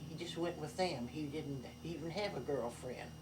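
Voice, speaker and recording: In a room with audible echo and noticeable background noise, a woman speaks fairly slowly in a very deep, low voice with ordinary pitch variation. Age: 80s+. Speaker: elderly relative recounting family history. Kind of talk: casual family conversation, reminiscing. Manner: halting, with repetitions.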